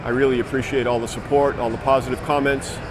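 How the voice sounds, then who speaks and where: Over noticeable background noise and audible room echo, a man speaks with monotone, flat intonation. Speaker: car show video host. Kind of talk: casual walkaround vlog. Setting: outdoors at a car show. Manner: halting, stuttering.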